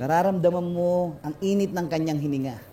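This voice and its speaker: A man speaks at a fairly slow pace. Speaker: spoken word poet. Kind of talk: freestyle spoken word performance. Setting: live stage performance.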